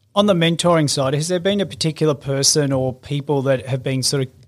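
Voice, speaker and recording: A man speaks at a fairly quick pace with an unremarkable speaking voice, fairly high pitch, and ordinary pitch variation. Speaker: podcast host. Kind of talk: interview.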